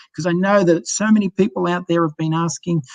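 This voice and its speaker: Speaking with an Australian accent, a man talks very fast at a fairly high pitch. His intonation is fairly even, and the sound is dry and close with no echo. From Australia, Sydney. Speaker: cruise line sales director. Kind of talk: sales presentation.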